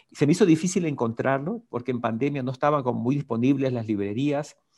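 This man talks at a fairly quick pace. His pitch sits fairly high. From Ecuador, coast (Guayaquil). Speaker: ontological coach. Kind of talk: interview.

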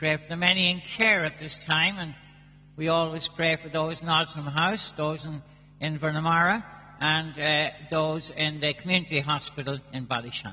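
Speaking in an Irish accent, a man keeps a moderate pace and a fairly high pitch with fairly even intonation. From Ireland. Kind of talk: fervent intercessory prayer, solemn petitions. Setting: church.

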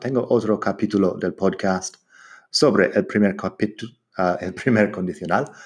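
Against a quiet background, a man speaks at a fairly slow pace with a fairly low pitch. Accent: English. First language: English (speaking Spanish). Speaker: English teacher podcaster. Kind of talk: language lesson.

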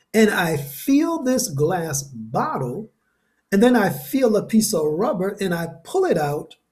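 Speaking in an American accent, a man uses a high pitch with very wide pitch swings. His pace is very slow. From New Haven, Connecticut. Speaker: podcast host, motivational speaker. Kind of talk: personal testimony monologue.

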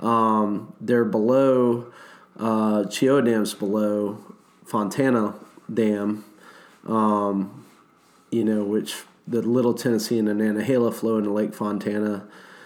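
Very slowly and with long, frequent pauses, a man talks in a fairly low, monotone, flat voice at very even loudness, with audible room echo around him. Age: 40s. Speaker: whitewater rafting guide. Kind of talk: casual chat.

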